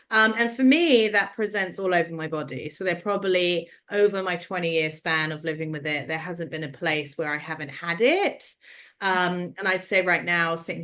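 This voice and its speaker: Speaking with a London accent in a bright, sharp tone, a woman keeps a moderate pace and ordinary pitch variation over a quiet background. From London, England. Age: 30s. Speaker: skin condition advocate and film producer. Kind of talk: interview conversation.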